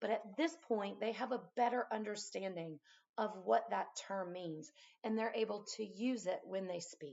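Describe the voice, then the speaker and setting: Fairly high-pitched and at a moderate pace, a woman with an unremarkable speaking voice. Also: ordinary pitch variation. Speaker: math teacher. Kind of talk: casual teaching talk. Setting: at home.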